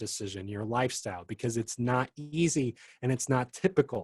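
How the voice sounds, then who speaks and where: A man with a medium-pitched, somewhat breathy voice speaks at a moderate pace. The recording is very clean with a silent background and a dry, close sound with no echo. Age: 30s. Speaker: singer-songwriter. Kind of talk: casual chat.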